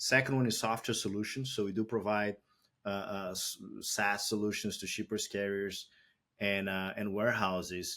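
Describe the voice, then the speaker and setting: A man speaks at a moderate pace in a Brazilian accent, his fairly low voice bright and sharp in tone, with monotone, flat intonation, on a very clean recording with a silent background. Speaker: tech company founder and CEO. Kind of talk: podcast interview.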